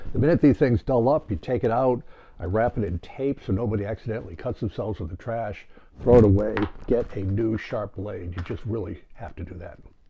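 Over light background noise, a man with a fairly low pitch and a somewhat breathy voice speaks at a fairly quick pace with ordinary pitch variation. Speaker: presenter. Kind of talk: tutorial. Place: workshop.

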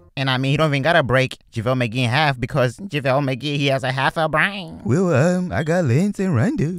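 A man talks very fast at a medium pitch, animated and with lively intonation. The recording is very clean with a silent background. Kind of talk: comedy roast skit. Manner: animated, mocking back-and-forth; fast, taunting, impersonating different players.

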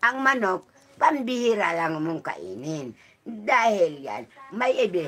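Very slow speech from a woman, with long, frequent pauses, big swings in loudness and very wide pitch swings. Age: 80s+. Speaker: elderly villager. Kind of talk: casual chat. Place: home room. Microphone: phone near.

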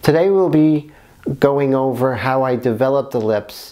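The speaker is a man who talks fairly slowly. His pitch shifts in an ordinary way. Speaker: art instructor. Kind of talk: tutorial. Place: studio. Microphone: lapel.

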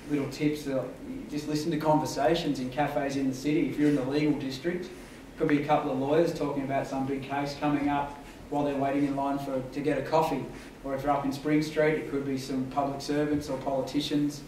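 Speaking very fast in a monotone, flat intonation, a man is heard with audible room echo and light background noise. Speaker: guest, journalist. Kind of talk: talk to students. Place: hall. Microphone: camera far.

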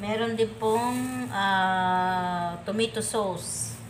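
A woman with ordinary pitch variation amid noticeable background noise. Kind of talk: cooking tutorial. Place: kitchen. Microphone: camera far.

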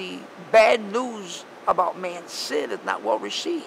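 Noticeable noise sits behind a man talking with an American accent. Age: 70s. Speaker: street preacher and part-time salesman. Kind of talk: casual interview answer.

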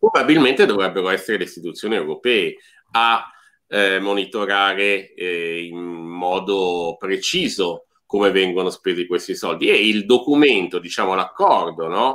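Against a quiet background, a man with a fairly low pitch and a plain, everyday voice talks at a fairly slow pace with ordinary pitch variation. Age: middle-aged. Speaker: podcast host. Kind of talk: casual chat. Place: home room. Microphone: video call.

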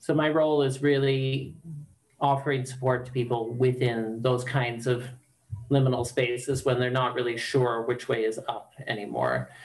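Over a quiet background, a man speaks at a moderate pace with monotone, flat intonation and very even loudness. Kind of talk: interview answer. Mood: calm, thoughtful. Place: home room. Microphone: video call.

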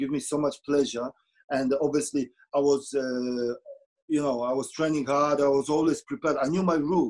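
Fairly even intonation in a Polish accent over a quiet background. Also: man, fairly high pitch for a man, moderate pace. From Poland. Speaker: former goalkeeper; guest. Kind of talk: casual chat. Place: home room. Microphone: video call.

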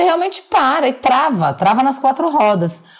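Very wide pitch swings from a woman speaking at a moderate pace. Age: 40s. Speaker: journalist. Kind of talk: casual chat.

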